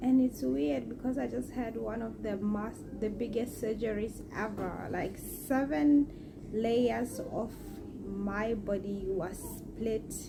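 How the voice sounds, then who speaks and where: Soft-spoken and fairly high in pitch, a woman talks very slowly with lively intonation amid audible room echo and noticeable background noise. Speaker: vlogger. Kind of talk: casual vlog talk to camera. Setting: at home in bed.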